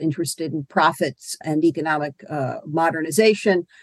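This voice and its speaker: An ordinary speaking voice from a woman at a moderate pace, with ordinary pitch variation and a dry, close sound with no echo. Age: 50s. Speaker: history professor. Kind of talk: interview.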